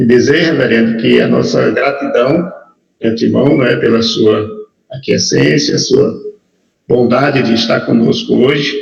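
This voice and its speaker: A man speaks at a fairly slow pace with very even loudness. Room echo is audible. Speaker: pastor. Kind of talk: formal introduction.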